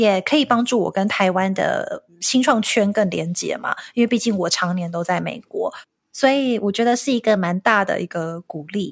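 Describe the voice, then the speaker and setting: A woman's normal speaking voice at a moderate pace with lively intonation, hardly any pauses, and a very clean recording over a silent background. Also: medium pitch for a woman. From Taiwan. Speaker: marketing executive and entrepreneur. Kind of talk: interview.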